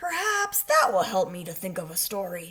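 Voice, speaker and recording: In a put-on character voice, the speaker sounds raspy at a middle pitch and a moderate pace. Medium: read story. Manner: earnest, fretful.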